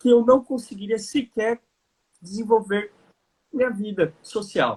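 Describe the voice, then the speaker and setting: A man speaking at a fairly slow pace. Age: 30s. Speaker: lawyer and lecturer. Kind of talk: panel discussion. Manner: formal.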